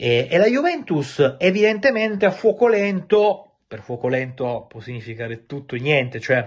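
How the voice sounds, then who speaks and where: With hardly any pauses, a somewhat breathy man talks at a moderate pace, his voice making very wide pitch swings and big swings in loudness against a quiet background. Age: 30s. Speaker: football transfer journalist. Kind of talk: video monologue on football transfer news. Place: home room.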